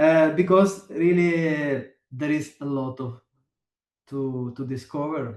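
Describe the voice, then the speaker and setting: Speaking at a very slow pace, a man with an Italian accent uses a fairly high pitch with ordinary pitch variation. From southern Italy, Potenza. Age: 40s. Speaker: electronic musician. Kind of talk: interview. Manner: halting, many hesitations.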